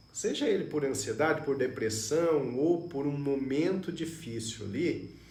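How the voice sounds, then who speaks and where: A man speaks at a fairly slow pace with lively intonation. Audible room echo surrounds his voice. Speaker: neurologist. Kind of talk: live stream health talk. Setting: Facebook live stream.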